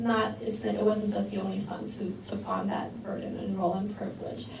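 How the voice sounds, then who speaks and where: A woman talks at a moderate pace, with audible room echo and noticeable background noise. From New York City, Korean-American community. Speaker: social work researcher and speaker. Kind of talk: presentation talk.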